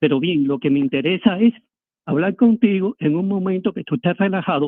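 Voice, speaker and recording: At a fairly quick pace, a man talks in a high voice with lively intonation. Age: 70s. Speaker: caller, photographer, former political prisoner. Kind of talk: phone-in call.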